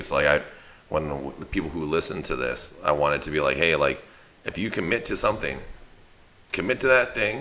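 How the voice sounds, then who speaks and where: A man talks at a very fast pace with an American accent. Background noise is noticeable. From US West Coast, East Side San Jose. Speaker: dog trainer and business owner. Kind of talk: casual chat. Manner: rambling with many fillers.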